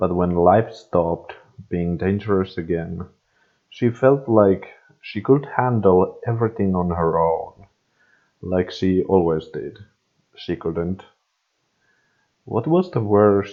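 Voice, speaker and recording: A man with a non-native accent speaks at a very deep, low pitch. His pace is very slow, with long, frequent pauses. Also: ordinary pitch variation. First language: not English. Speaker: fan fiction reader. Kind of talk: reading aloud. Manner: halting.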